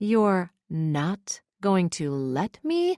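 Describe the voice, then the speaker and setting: Using a put-on character voice, a woman speaks at a medium pitch with lively intonation. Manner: slow, measured, incredulous.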